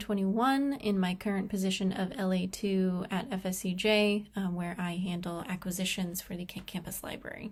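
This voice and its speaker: Somewhat breathy, a woman talks at a fairly quick pace with hardly any pauses. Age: 20s. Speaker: library professional and graduate student. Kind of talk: recorded class presentation. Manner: slightly hesitant, with fillers.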